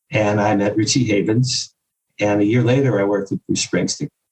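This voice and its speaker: The audio is dry and close, with no echo. A man's voice comes across somewhat breathy. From US Northeast, Jersey Shore. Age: 60s. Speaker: publicist and author. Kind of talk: interview storytelling. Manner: animated.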